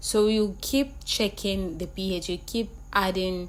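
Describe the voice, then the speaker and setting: A woman talks very slowly, with audible room echo. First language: not English. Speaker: skincare product maker and trainer. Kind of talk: tutorial. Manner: casual, repetitive.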